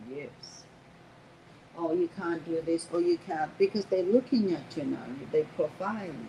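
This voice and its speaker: A woman's animated voice, fairly low in pitch, with a non-native accent and ordinary pitch variation, over noticeable background noise. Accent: foreign. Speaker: restaurant owner. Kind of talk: casual interview.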